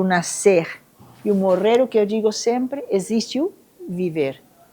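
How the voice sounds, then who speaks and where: Her tone dark and mellow, a woman with a fairly high voice speaks at a moderate pace with lively intonation. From Venezuela, Caracas. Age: 60s. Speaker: Buddhist nun. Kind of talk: testimony at a live event.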